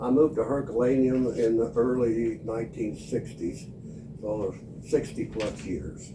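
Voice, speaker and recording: With an American accent, a man talks at a fairly slow pace and medium pitch, his pitch varying in an ordinary way, amid audible room echo and noticeable background noise. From Missouri. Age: 80s. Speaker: longtime resident. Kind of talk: oral history interview.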